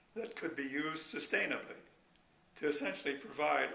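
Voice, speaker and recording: A man talks at a moderate pace with a fairly high pitch and ordinary pitch variation. Audible room echo surrounds his voice. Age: 70s. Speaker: retired energy researcher. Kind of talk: interview. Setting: sit-down interview. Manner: hesitant, many filler words.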